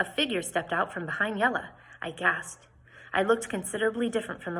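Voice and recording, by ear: Reading aloud in a natural voice. Pitch varies in an ordinary way.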